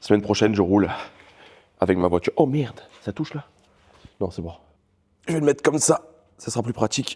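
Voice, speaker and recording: Fairly low-pitched and dark, mellow in tone, a man talks at a fairly quick pace with lively intonation, big swings in loudness, and long, frequent pauses, in a dry, close sound with no echo. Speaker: car mechanic YouTuber. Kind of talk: casual vlog narration while working on a car.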